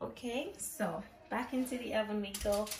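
A woman talks with ordinary pitch variation. There is noticeable background noise. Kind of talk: cooking tutorial. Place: kitchen.

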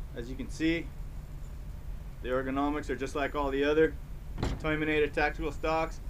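A man talks in a flat monotone. Light background noise can be heard. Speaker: product maker reviewing a rifle stock. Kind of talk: casual product review chat. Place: open country. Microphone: camera far.

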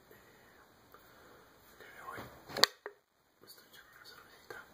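A man talks at a very slow pace. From Mexico. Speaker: ASMR vlogger. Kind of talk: casual ASMR talk to camera. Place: home room. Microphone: webcam.

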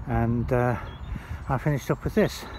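Noticeable noise sits behind a dry recording that has no echo. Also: man. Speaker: bike seller. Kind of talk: casual product walkaround. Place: open country. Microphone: phone near.

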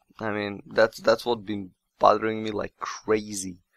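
A man speaks at a slow pace with vocal fry. His tone is fairly bright.

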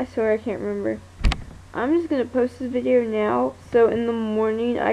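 A woman mumbling at a moderate pace over light background noise. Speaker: vlogger. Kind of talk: casual vlog chat. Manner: sleepy, groggy late-night mumble. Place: home room. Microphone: phone near.

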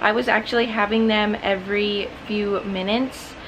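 Noticeable background noise runs under this woman's voice. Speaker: vlogger. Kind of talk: casual vlog chat. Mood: calm, light laughs. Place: home room. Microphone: phone near.

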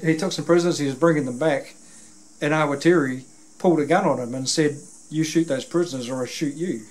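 Speaking at a very fast pace, a man is heard. His intonation is fairly even. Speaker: interviewer. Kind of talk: interview conversation, retelling a story. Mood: earnest, conversational. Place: home room.

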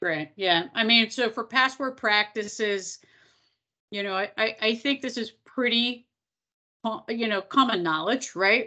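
Against a quiet background, a woman with an American accent speaks fairly slowly at a fairly high pitch, her tone bright and sharp, with ordinary pitch variation and long, frequent pauses. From Philadelphia, US. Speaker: nonprofit technology executive; presenter. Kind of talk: webinar presentation. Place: kitchen. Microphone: video call.

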